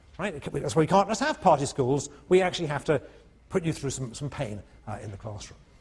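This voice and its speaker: Animated and somewhat breathy, a man with a fairly high pitch speaks at a fairly quick pace, his voice making very wide pitch swings. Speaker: professor. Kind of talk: lecture. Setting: lecture hall with students. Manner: animated, conversational.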